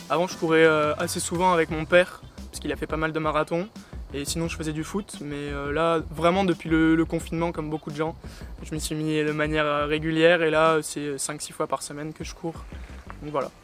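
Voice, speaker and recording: Over music in the background, a man with a fairly high pitch talks in a monotone, flat intonation while his loudness swings widely. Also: fairly quick pace. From France, Bordeaux. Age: 20s. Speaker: amateur marathon runner, student teacher. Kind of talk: interview.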